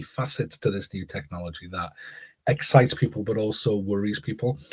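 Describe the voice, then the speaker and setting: Talking fairly quickly, a man sounds somewhat breathy. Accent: Newcastle. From northern England, Newcastle. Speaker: school leader and author, keynote speaker. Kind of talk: interview. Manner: repetitive false starts.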